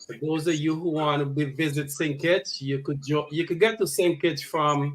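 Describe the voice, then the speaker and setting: A man's fairly high-pitched voice, a normal speaking voice with fairly even intonation. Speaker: podcast host. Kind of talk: podcast talk.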